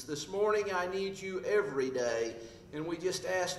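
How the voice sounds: The intonation is lively in what sounds like a natural reading voice.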